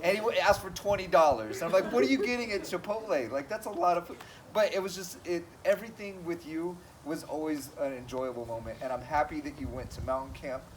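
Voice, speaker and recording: Amid noticeable background noise, a man with a high pitch talks at a very fast pace, his intonation lively and his loudness swinging widely. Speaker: cross country coach. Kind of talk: farewell speech at team banquet.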